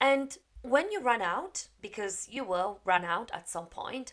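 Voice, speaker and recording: A fairly high-pitched woman's voice with a Polish accent. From Poland. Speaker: English teacher. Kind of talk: tutorial.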